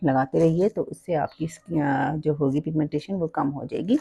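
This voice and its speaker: The voice moves at a fairly slow pace. Its tone is dark and mellow. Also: woman. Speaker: makeup tutorial creator. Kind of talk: tutorial. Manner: casual, hesitant with fillers.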